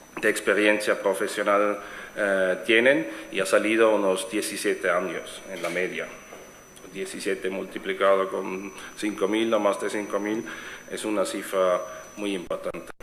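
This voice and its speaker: With a slight German accent, a man speaks at a fairly slow pace amid audible room echo and noticeable background noise. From Switzerland. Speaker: event organizer, networking platform founder. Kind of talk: conference presentation. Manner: halting, many fillers and restarts.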